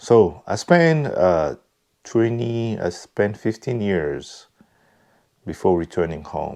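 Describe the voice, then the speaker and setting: Very slowly, a man speaks with a Congolese accent and a dark, mellow tone. The recording is very clean, with a silent background. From Congo (DR Congo). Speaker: vlogger. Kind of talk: personal reflection monologue. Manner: halting, many fillers.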